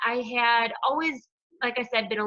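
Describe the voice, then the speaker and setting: Here a woman speaks with a high pitch. Her tone is bright and sharp. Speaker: hairdresser and wellness coach. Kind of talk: group call presentation. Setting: conference call. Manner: fast.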